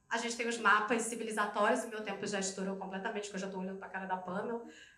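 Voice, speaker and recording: A woman speaks very fast in a flat monotone. There is audible room echo and noticeable background noise. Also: medium pitch for a woman. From Rio de Janeiro, Brazil. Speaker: educator and project leader. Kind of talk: conference talk.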